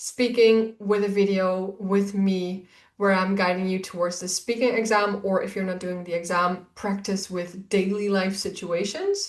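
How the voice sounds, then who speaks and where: A woman with a Dutch accent talks at medium pitch and a fairly slow pace. She leaves hardly any pauses. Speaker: Dutch language teacher. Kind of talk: course introduction. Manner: enthusiastic.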